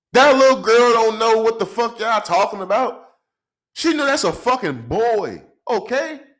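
Here a man's voice is extremely high-pitched, with an animated tone and ordinary pitch variation. The recording is very clean, with a silent background. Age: 20s. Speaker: podcast host. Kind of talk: angry rant; profane comedic commentary. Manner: loud, aggressive, scornful; fast, animated, profanity-heavy.

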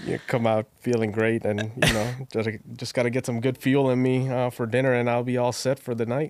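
A man speaks at a fairly quick pace with hardly any pauses, medium pitch, and monotone, flat intonation. Noticeable background noise is present. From Bangladesh. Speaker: jiu-jitsu student and training partner. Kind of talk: casual chat.

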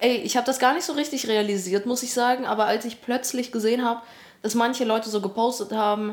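A very fast-talking woman with fairly high pitch and fairly even intonation, over noticeable background noise. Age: 20s. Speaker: part-time student and YouTuber. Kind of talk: casual chat.

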